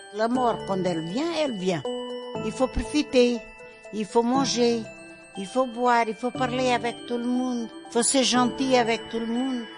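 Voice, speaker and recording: Over music in the background, a woman with a strong Portuguese accent and a fairly high pitch speaks at a fairly slow pace, with ordinary pitch variation and long, frequent pauses. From Portugal. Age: 80s+. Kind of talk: interview answer.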